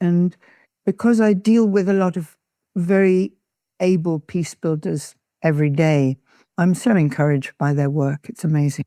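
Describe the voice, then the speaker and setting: Her voice, a woman's with an English accent, is fairly low in pitch and dark and mellow in tone, with ordinary pitch variation at a moderate pace. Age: 80s+. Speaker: peace activist. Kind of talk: interview.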